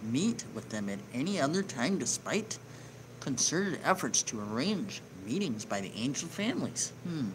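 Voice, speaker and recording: A quiet man talks at a medium pitch with very wide pitch swings. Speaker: online news show host. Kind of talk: reading news article with commentary. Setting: home near neighbors. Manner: lowered voice, quieter; hesitant, filler words.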